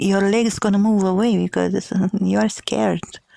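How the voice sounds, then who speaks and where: At a fairly slow pace, a woman speaks at a medium pitch. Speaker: podcaster. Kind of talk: casual podcast talk.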